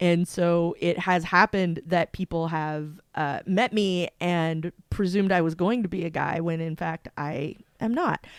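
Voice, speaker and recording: In an ordinary speaking voice, a woman talks at a fairly slow pace with fairly even intonation and fairly low pitch. The sound is dry and close, with no echo. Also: very clean recording, silent background. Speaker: podcast co-host. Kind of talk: casual chat. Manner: many fillers, uh and um.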